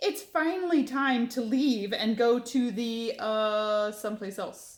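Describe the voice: Using a put-on character voice, a woman speaks at a fairly high pitch with a booming delivery. Her intonation is lively and her pace fairly slow.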